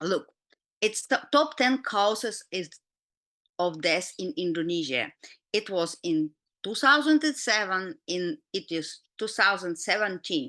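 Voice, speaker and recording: A woman with a Russian accent speaks at a fairly slow pace and medium pitch, in a bright, sharp tone. Her pitch swings very widely over a quiet background. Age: 50s. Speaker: doctor and health educator. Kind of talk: lecture. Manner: halting.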